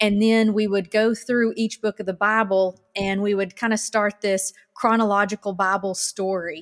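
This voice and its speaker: A woman's medium-pitched voice in a monotone with flat intonation, very even loudness and hardly any pauses, at a moderate pace, with a dry, close sound and no echo. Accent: Arkansas. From Arkansas, US South. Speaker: former TV reporter, church volunteer. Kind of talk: interview, personal testimony.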